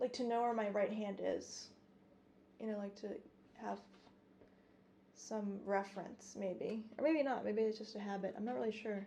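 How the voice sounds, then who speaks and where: A soft-spoken woman with fairly even intonation and long, frequent pauses, against noticeable background noise. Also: fairly high pitch for a woman, moderate pace. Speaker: classical guitarist streamer. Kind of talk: casual livestream chat while practicing. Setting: livestream at home. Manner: halting. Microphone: guitar condenser mics, voice quiet.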